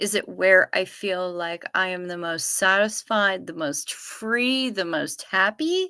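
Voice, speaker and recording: On a very clean recording with a silent background, a woman with an American accent speaks at a very slow pace in a bright, sharp tone, medium in pitch with ordinary pitch variation. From Duluth, Minnesota (northern Minnesota). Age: 50s. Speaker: livestreamer. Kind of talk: casual livestream chat reading viewer comments.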